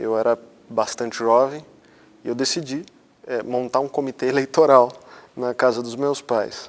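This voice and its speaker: A man with a medium pitch and fairly even intonation talks at a moderate pace, leaving long, frequent pauses. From Brazil, São Paulo state interior (Botucatu). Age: 30s. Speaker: interviewee. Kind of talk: personal testimony. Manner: halting, with repetitions.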